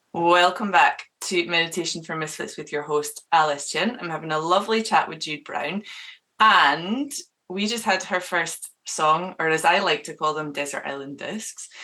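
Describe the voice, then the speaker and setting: This woman has a fairly low pitch, a bright, sharp tone and a Scottish accent. She keeps a moderate pace with ordinary pitch variation. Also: big swings in loudness. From Scotland. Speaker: radio show host. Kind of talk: interview chat.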